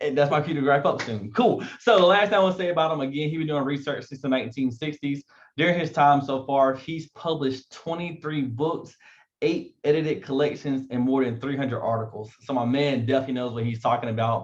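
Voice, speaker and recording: With an eastern North Carolina accent, a man speaks fairly quickly in a fairly high voice with ordinary pitch variation. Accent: eastern North Carolina Southern. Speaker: event host. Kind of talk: event introduction. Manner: fast.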